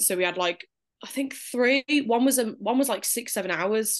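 Against a quiet background, a woman speaks very fast in a Birmingham accent with ordinary pitch variation. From Birmingham, England. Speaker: new mother sharing birth story. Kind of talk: casual interview.

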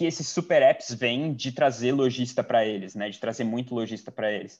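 An ordinary speaking voice from a man, medium in pitch, with ordinary pitch variation, a moderate pace and a quiet background. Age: 20s. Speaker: product manager and master's student. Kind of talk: casual interview.

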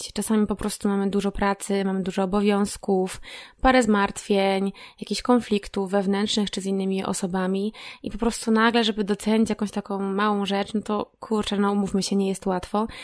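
Speaking at a fairly quick pace, a woman has a medium pitch and a monotone, flat intonation. The recording is very clean with a silent background. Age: 30s. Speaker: podcast host. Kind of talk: solo reflective monologue. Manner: casual, conversational.

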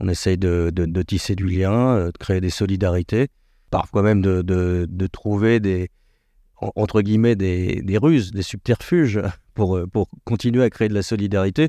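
A man speaks fairly slowly in a very deep, low voice with a dark, mellow tone and ordinary pitch variation. The sound is dry and close with no echo, and the background is quiet. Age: 50s. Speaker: director of a federation of mutual insurers. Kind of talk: interview. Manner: hesitant, many fillers.

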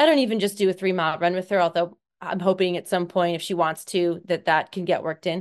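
Speaking very fast with hardly any pauses, a woman talks in an American accent. Her intonation is fairly even against a quiet background. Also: fairly low pitch for a woman. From Seattle, Washington, US. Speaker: obstacle course racing athlete. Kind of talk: casual interview chat.

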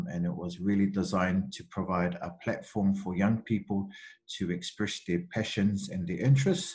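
A man speaks in a New Zealand accent at a fairly low pitch, with ordinary pitch variation. His voice is somewhat breathy. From New Zealand, Central Auckland. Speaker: university student recruitment advisor. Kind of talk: interview, casual conversation. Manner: hesitant, many fillers.

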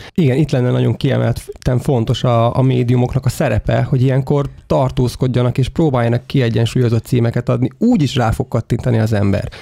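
Somewhat breathy and dark, mellow in tone, a man talks at a fairly quick pace and medium pitch, with fairly even intonation and very even loudness.

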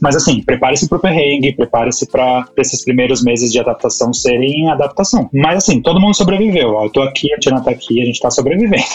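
A man's fairly high voice at a very fast pace, with lively intonation, hardly any pauses, and noticeable background noise. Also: very even loudness. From Brazil, São Paulo. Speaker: marketing professional, immigrant in Canada. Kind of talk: casual chat.

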